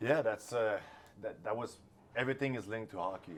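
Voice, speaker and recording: A man at a very fast pace with a Quebec French accent. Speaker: hockey assistant coach. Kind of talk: interview. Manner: halting.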